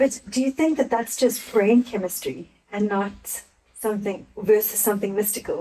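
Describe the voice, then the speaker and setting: A woman with a fairly high pitch speaks at a moderate pace in a dark, mellow, somewhat breathy tone, with ordinary pitch variation. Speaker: podcast host. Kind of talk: conversational interview question.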